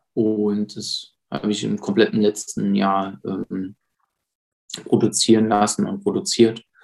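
The man talks at a very slow pace. Long, frequent pauses break up his speech. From Saarland, Germany (Saarbrücken). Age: 30s. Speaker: police officer and self-defense trainer. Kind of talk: casual interview.

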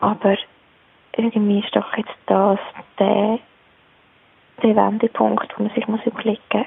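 Over noticeable background noise, a woman talks at a moderate pace. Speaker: mother, caller. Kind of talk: voicemail monologue. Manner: spontaneous.

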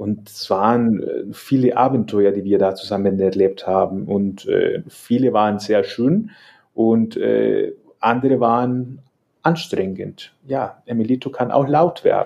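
A man with a Spanish accent at a very slow pace. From El Salvador. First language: Spanish (speaking German). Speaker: salsa dance teacher. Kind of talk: casual interview. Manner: hesitant, many fillers.

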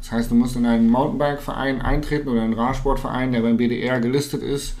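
Fairly quick male speech at a medium pitch, room echo audible and background noise noticeable. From northern Germany, Hannover. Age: 20s. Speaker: mountain bike pro and content creator. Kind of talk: casual interview.

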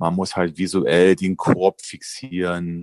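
Very deep, low male pitch, monotone and flat, with a dry, close sound, no echo, and a quiet background. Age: 40s. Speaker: vocational trainer. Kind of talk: casual chat.

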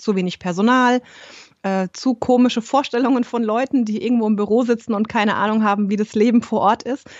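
At a fairly quick pace, a woman talks in an ordinary speaking voice with a fairly high pitch and fairly even intonation. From Germany, Rhein-Main area. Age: 30s. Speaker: yoga teacher and holistic coach. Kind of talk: interview.

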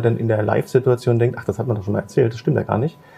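A man's ordinary pitch variation comes through over music in the background. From Magdeburg, Saxony-Anhalt, Germany. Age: 30s. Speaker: entrepreneur. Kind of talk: casual chat. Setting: café, filmed livestream.

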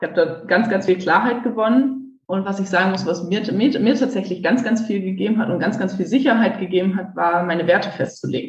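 With an unremarkable speaking voice, a woman of medium pitch talks at a fairly quick pace with hardly any pauses. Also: ordinary pitch variation. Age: 20s. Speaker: civil engineer turned coach. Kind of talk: interview.

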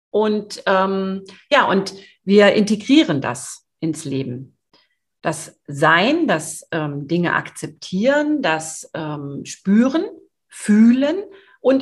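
A woman speaks at medium pitch, somewhat breathy. Her pitch swings very widely. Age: 50s. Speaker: sales coach. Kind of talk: podcast interview. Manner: hesitant, many fillers.

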